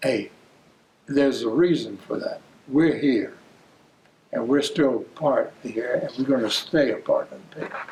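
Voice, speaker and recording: Noticeable background noise, a man at a moderate pace with long, frequent pauses and big swings in loudness. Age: 80s+. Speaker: war veteran, interviewee. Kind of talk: oral history interview. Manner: halting, repetitive.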